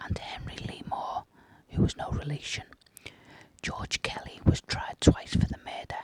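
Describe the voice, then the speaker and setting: A moderately paced whisper against noticeable background noise. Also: man. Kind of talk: whispered true crime narration. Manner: whispered, soft.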